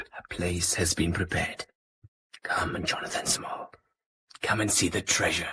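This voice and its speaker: Using a put-on character voice, a man speaks at a moderate pace with a very deep, low pitch and long, frequent pauses. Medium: audio drama. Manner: calm, formal, measured and menacing.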